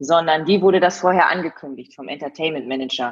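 At a moderate pace, a woman talks in a normal speaking voice. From East Frisia, northern Germany (Leer). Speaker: TV presenter and event host. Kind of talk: casual interview.

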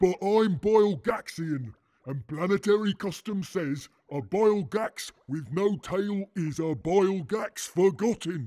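A man's put-on character voice, high-pitched, at a fairly slow pace. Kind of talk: comic sci-fi radio drama. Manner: slow, plaintive, dim.

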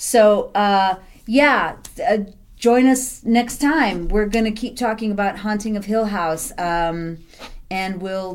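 At a very slow pace, a woman with an American accent talks at a medium pitch with ordinary variation. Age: 40s. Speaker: podcast co-host. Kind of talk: casual chat.

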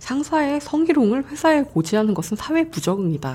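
A playful woman's voice, somewhat breathy with a dark, mellow tone, fairly quick, with very wide pitch swings. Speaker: podcast host. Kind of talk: casual interview chat. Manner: laughs often, playful.

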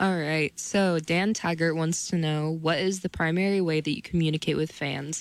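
The speaker has an American accent. The recording is very clean, with a silent background. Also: woman. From Ohio. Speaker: student co-host. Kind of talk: reading listener questions.

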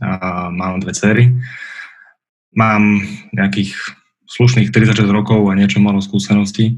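With long, frequent pauses and audible room echo, a man speaks at a fairly low pitch and fairly slow pace using fairly even intonation. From Bratislava, western Slovakia. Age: 30s. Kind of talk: interview conversation.

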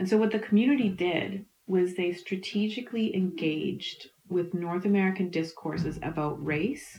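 At a moderate pace, the speaker talks with a Canadian Prairie accent and ordinary pitch variation. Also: woman. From Canada, Manitoba. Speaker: historian. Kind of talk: interview.

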